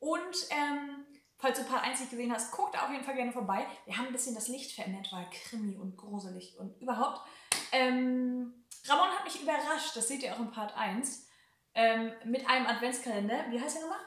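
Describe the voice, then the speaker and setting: In a Hamburg accent, the speaker talks at a moderate pace with lively intonation, and the room echo is audible. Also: woman, high pitch for a woman. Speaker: YouTuber. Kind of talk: casual chat. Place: home room.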